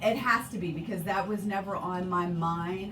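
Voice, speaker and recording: A woman with an American accent at medium pitch, with noticeable background noise and audible room echo. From Virginia, Hampton Roads area. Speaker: student researcher in linguistics. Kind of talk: radio interview. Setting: radio studio.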